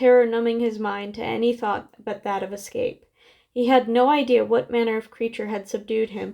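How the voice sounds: The speaker uses a natural reading voice, and the intonation stays fairly even.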